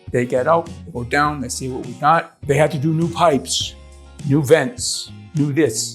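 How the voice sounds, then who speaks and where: Over music in the background, a man speaks in a fairly high voice with ordinary pitch variation. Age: 60s. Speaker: homeowner, customer. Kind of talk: customer testimonial, casual interview answer.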